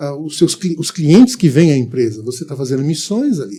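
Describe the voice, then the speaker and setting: Somewhat breathy with a dark, mellow tone, a man talks fairly quickly at a fairly high pitch with lively intonation. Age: 70s. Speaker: pastor and missionary. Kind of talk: podcast interview.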